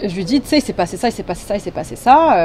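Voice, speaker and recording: Over noticeable background noise, a woman speaks at a very fast pace at a fairly high pitch with very wide pitch swings. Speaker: YouTuber. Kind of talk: casual storytime talk to camera. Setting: recorded on phone microphone.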